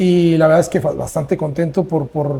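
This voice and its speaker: Fairly high in pitch, a man speaks with a dark, mellow tone. His intonation is fairly even and his pace moderate. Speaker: podcast host. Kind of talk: casual interview. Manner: halting, repetitive.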